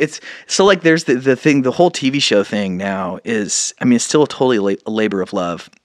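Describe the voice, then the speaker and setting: On a very clean recording with a silent background, a man at medium pitch speaks at a moderate pace with very wide pitch swings. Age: 40s. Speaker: independent musician and actor. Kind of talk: casual interview chat.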